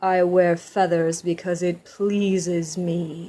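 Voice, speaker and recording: Using a gruff, put-on character voice, a woman speaks at a fairly low pitch and a very slow pace with monotone, flat intonation. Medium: read story. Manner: gruff, proud.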